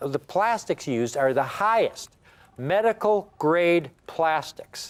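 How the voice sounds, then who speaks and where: Using a high pitch and very wide pitch swings, a man talks at a fairly slow pace. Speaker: coin dealer, TV sales host. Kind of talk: sales pitch. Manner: animated.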